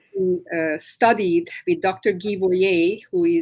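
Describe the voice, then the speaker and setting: Very slowly, a woman speaks with a Hungarian accent and ordinary pitch variation. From Romania, Hungarian-speaking. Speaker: massage therapist. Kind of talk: interview. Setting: live stream. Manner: halting.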